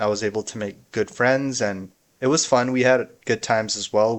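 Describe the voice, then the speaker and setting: With an American accent, a man talks at a moderate pace and medium pitch, his intonation fairly even. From US Midwest, Chicago area. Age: 20s. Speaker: content creator. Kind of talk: personal vlog monologue.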